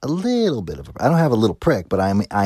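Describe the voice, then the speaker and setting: The sound is dry and close, without any echo. A man talks in an animated tone. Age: 30s. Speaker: band musician and podcast host. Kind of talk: casual monologue.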